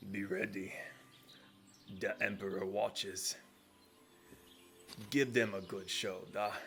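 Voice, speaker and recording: Using a put-on character voice, a man talks at a fairly slow pace and fairly low pitch, with long, frequent pauses and clear background noise. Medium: actual play. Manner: terse, grunting.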